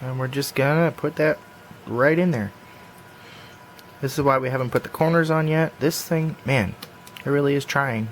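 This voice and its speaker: A man speaks at a fairly high pitch in a relaxed tone, with long, frequent pauses. Noticeable background noise runs underneath. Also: ordinary pitch variation, moderate pace. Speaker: puzzle hobbyist tutorial maker. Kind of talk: tutorial. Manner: casual, relaxed.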